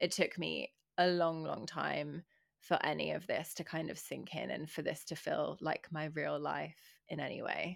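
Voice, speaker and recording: In an English accent, a woman keeps a moderate pace. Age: young. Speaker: podcast co-host. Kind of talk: casual chat.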